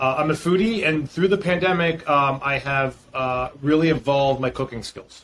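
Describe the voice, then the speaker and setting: A fairly high-pitched man at a moderate pace, with hardly any pauses and ordinary pitch variation. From Boston, US Northeast. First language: Greek. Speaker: startup founder and CEO. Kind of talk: interview.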